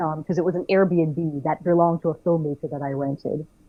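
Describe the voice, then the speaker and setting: A woman's fairly low voice with fairly even intonation at a moderate pace. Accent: slight Jamaican. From Jamaica. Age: young. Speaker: filmmaker and actress. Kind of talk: interview conversation. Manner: halting.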